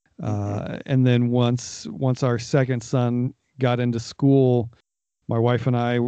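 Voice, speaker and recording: With an American accent, a man speaks at a medium pitch in a dark, mellow tone. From Northeast Ohio. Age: 40s. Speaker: audio producer and sound designer. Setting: home recording with mic.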